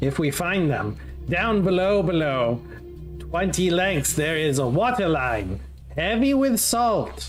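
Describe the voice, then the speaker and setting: Over clear background music, a man puts on a character voice, pitched fairly high for a man and delivered at a fairly slow pace. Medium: actual play. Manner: broken, simple phrasing.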